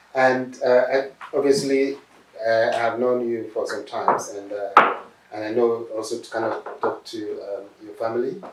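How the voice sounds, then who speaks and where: A man with a Nigerian accent and big swings in loudness, amid noticeable background noise and audible room echo. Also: moderate pace. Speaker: professor, doctor interviewing a patient. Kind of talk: interview. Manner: hesitant, many fillers.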